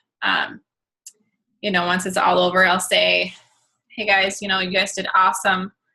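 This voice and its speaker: A woman talks at a moderate pace and medium pitch with vocal fry, a bright, sharp tone, monotone, flat intonation, and long, frequent pauses. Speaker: fitness coach. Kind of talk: video call training talk.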